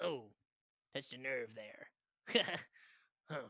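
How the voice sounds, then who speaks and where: The voice is a put-on character voice, strained and guttural. Its pitch sits low-to-middle. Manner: taunting.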